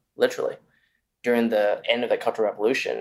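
A man talks at a fast pace with a fairly low pitch. His pitch moves very little.

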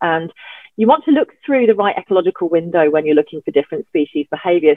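A woman's fairly low voice at a very fast pace, with lively intonation. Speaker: environmental scientist and drone conference convener. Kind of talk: casual interview.

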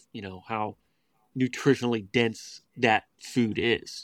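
Over a very clean recording with a silent background, a man at medium pitch uses an ordinary speaking voice with fairly even intonation and a dry, close sound with no echo. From West Virginia. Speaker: raw milk advocate. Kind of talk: interview.

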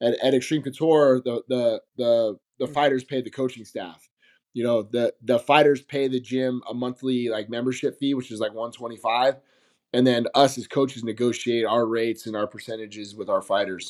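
A man speaks in a General American accent with a plain, everyday voice. His pitch is medium, his intonation fairly even and his pace moderate. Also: dry, close sound with no echo. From Las Vegas, Nevada. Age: 40s. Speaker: MMA coach. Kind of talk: casual interview.

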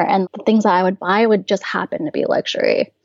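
Using a plain, everyday voice, a woman talks at a fairly quick pace with medium pitch and ordinary pitch variation. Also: dry, close sound with no echo. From US, small town. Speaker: anonymous personal finance blogger. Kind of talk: casual interview.

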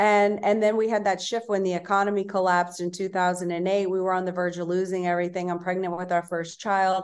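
Over a quiet background, a woman speaks at a medium pitch with an American accent. Her delivery is very fast and monotone, with flat intonation and hardly any pauses. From Louisiana, US South. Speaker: entrepreneur and author. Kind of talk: casual interview chat.

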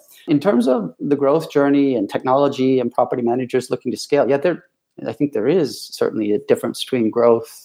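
A man with a Midwestern accent, medium in pitch and dark, mellow in tone, talking at a fairly quick pace with ordinary pitch variation. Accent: American Midwest. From US Midwest, Ann Arbor, Michigan. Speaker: vacation rental company executive. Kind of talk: interview.

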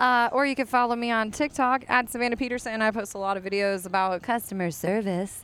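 A woman at a very fast pace with an animated tone, ordinary pitch variation and hardly any pauses, on a very clean recording with a silent background. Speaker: podcast co-host. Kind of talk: casual chat. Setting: on location at a bar. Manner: loud, projecting voice.

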